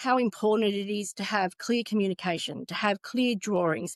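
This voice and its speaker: A woman with an Australian accent and a fairly high pitch speaks at a moderate pace. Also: dry, close sound with no echo. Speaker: retail construction executive. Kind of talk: interview.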